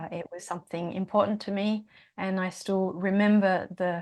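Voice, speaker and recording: On a very clean recording with a silent background, a woman with a slight Australian accent speaks at a medium pitch with fairly even intonation. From Australia, Tasmania. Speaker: singer and yoga teacher. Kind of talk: podcast interview. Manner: halting, many fillers.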